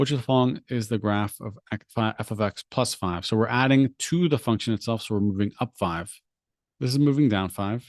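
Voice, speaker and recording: A man speaks at a medium pitch with ordinary pitch variation and a fairly quick pace. The sound is dry and close with no echo, over a quiet background. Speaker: SAT tutor. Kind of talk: live stream tutorial. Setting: live stream with screen share. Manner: fast.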